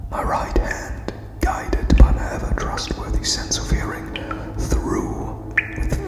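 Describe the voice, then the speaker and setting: Over music in the background, a soft-spoken man whispers. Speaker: ASMR narrator. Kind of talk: whispered ASMR story reading. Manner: whispered, soft, slow.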